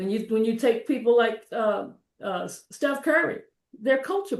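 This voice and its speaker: Speaking in an American accent with a plain, everyday voice, a woman keeps a moderate pace and lively intonation. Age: 60s. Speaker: energy advisor. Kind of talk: interview.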